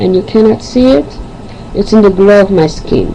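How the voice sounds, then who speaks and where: Background noise is noticeable. A woman talks at a moderate pace. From Haiti / Angola, lived in Africa, Europe, Caribbean. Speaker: poet and video host. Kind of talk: self-introduction then poetry reading.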